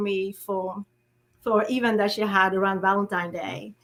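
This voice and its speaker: In a French accent, a woman talks at a fairly slow pace. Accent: French-speaking. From French-speaking country. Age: 40s. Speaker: author and poet. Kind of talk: interview. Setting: livestream.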